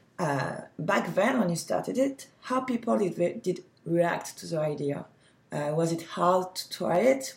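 Speaking at a fairly slow pace, a woman with a French accent uses a fairly low pitch and lively intonation. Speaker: podcast host. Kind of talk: interview.

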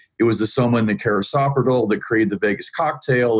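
Speaking very fast with an American accent, a man holds a medium pitch and ordinary pitch variation. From US South, Atlanta, Georgia. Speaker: IT professional and pain advocate. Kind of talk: interview conversation. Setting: video call.

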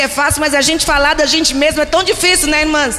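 A woman's raised, projected voice amid audible room echo and noticeable background noise. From Brazil, Recife. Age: 50s. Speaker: pastor. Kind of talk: sermon.

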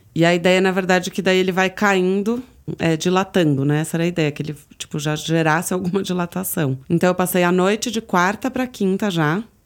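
A woman has an ordinary speaking voice at a medium pitch. She talks at a fairly quick pace with ordinary pitch variation. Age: 30s. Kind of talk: personal testimony. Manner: casual, many fillers.

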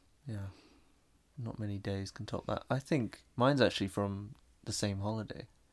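A man's fairly low voice with a southern English accent, moderate pace, fairly even intonation and long, frequent pauses. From southern England. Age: 20s. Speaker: architectural visualization artist. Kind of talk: casual chat. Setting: home bedroom, raining outside.

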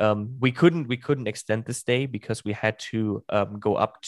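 Speaking with a German accent, a man uses a fairly low pitch, a fairly slow pace and fairly even intonation. The recording is very clean, with a silent background and a dry, close sound with no echo. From Germany. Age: 20s. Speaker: podcast host. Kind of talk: casual chat. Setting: live stream.

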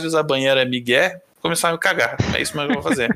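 Bright and sharp in tone, a man's voice races along at a very fast pace. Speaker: podcast intern and editor. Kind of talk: casual chat.

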